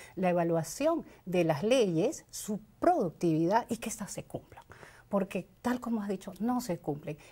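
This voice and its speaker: A woman speaks fairly slowly at a medium pitch, somewhat breathy. Her intonation is lively. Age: 60s. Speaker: congressional candidate. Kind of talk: interview.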